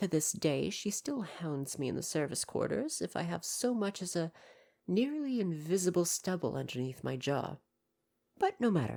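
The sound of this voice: In a put-on character voice, a woman speaks at a moderate pace with a fairly low pitch, a dark, mellow tone, vocal fry and big pitch swings.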